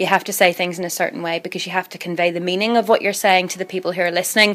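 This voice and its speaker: A woman of medium pitch speaks in a Northern Irish accent. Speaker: radio newsreader and journalist. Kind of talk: interview. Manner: conversational, fast with many fillers; posh newsreader voice on air, different off air.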